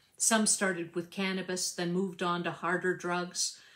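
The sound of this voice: The reading voice here is unforced.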